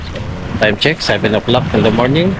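A man speaks with fairly even intonation. The sound is dry with no echo, but background noise is noticeable. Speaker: fishing vlogger. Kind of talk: casual vlog chat. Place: waterside. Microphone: phone near.

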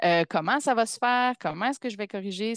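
A woman talks at a moderate pace with ordinary pitch variation, recorded with a dry, close sound with no echo against a quiet background. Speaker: pedagogical counsellor, community of practice facilitator. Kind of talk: webinar presentation. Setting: video call webinar with screen sharing.

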